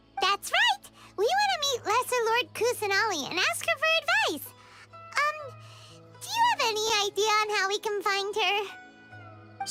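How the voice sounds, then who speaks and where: A put-on character voice, squeaky and extremely high in pitch, moves at a moderate pace. Loud music plays in the background. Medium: video game. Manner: bubbly, excitable.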